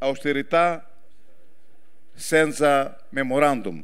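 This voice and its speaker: With a Greek accent, a man talks at a very slow pace. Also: quiet background. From Greece. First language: Greek (speaking Italian). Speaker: politician. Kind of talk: political speech. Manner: halting. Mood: earnest, solemn. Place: stage. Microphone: handheld.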